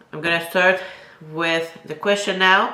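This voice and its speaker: A French Canadian accent amid noticeable background noise and audible room echo. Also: woman. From Quebec. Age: 20s. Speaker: bodybuilding competitor and YouTuber. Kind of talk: casual Q&A vlog. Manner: casual with many fillers.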